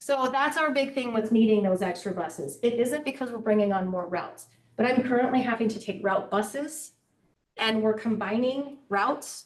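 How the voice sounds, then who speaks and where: With ordinary pitch variation, the woman's voice sits at a fairly high pitch. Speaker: school transportation manager. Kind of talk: board meeting presentation. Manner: fast.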